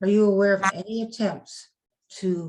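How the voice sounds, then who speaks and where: This woman's voice is somewhat breathy. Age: 70s. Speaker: audience member. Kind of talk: audience question. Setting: video call.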